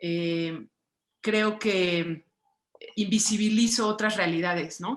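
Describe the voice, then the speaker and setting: Speaking with a Mexican accent, a woman uses a medium pitch with ordinary pitch variation. Her pace is very slow. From Mexico. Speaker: writer and visual artist. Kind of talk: book club conversation. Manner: hesitant, many fillers.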